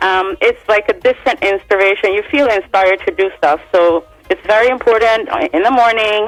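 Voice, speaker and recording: Music plays in the background as a woman speaks at a moderate pace with a fairly high pitch. Her intonation is lively and her loudness very even. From Barbados (moved from Sweden as a child). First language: Swedish. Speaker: singer. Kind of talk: radio interview.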